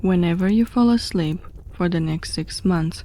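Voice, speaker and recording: A woman speaks at a fairly slow pace. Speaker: horror story narrator. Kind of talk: horror story narration.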